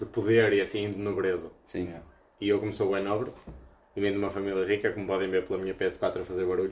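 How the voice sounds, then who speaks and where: A man speaks very fast at a fairly low pitch. His intonation is flat and monotone. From Viana do Castelo, northern Portugal. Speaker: podcast co-host. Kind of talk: casual chat. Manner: halting.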